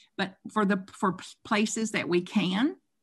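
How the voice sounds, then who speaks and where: A woman talks at a moderate pace and medium pitch with ordinary pitch variation. Her voice is somewhat breathy. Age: 60s. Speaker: spiritual author. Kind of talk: interview. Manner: animated.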